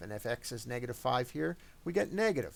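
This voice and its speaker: This man talks very fast at a medium pitch, with vocal fry and very wide swings in pitch. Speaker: math teacher. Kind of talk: tutorial.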